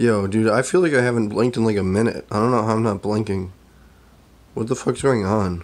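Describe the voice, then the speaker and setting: A man talks at a fairly quick pace in a fairly low voice with ordinary pitch variation. His loudness stays very even. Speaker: amateur video creator. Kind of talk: casual vlog chat. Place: kitchen. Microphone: phone near.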